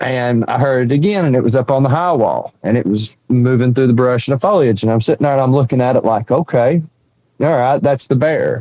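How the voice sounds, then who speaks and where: A man at a medium pitch with an Appalachian accent, fairly quick in pace and very even in loudness. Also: ordinary pitch variation. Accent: Southern US (Appalachian). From East Tennessee. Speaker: bigfoot witness and researcher. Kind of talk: storytelling interview. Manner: animated.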